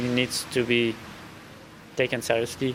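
Amid noticeable background noise, a man with a French accent speaks at a moderate pace and a medium pitch. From France. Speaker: ultra trail runner. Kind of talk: interview. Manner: halting.

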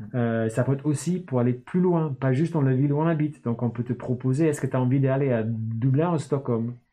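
A man talks at a fairly quick pace and a medium pitch. His intonation is fairly even and his loudness very even. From northern England, Newcastle. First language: English (speaking French). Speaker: startup founder. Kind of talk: casual interview.

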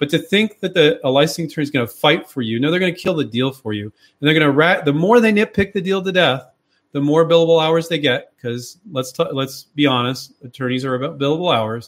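Talking very fast with hardly any pauses, a man uses lively intonation at a fairly high pitch. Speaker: inventor and licensing coach. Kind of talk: live Q&A stream. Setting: online live stream. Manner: fast talker; casual, direct, emphatic.

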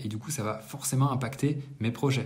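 A man talks at a fairly quick clip in a medium-pitched, somewhat breathy voice with ordinary pitch variation, and the room echo is audible. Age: 30s. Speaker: entrepreneur vlogger. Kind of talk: monthly business debrief monologue. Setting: apartment under renovation. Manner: casual, hesitant with many fillers. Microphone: no usual microphone, poorer sound.

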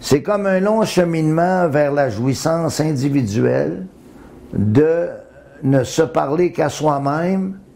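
Very slow speech from a man with a fairly high pitch and lively intonation. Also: very even loudness. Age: 70s. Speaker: interviewee in documentary. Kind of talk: interview.

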